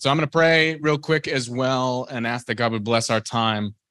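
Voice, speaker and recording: Over a quiet background, a man speaks at a medium pitch with a bright, sharp tone. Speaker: Bible teacher, reverend. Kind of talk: Bible teaching. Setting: in-person Bible study group. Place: meeting room. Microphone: handheld.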